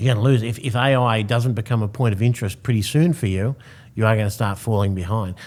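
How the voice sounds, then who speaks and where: Talking at a very fast pace, a man with an Australian accent keeps a medium pitch and ordinary pitch variation. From Australia (Sydney). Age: 60s. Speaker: real estate agency founder and CEO. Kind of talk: podcast interview.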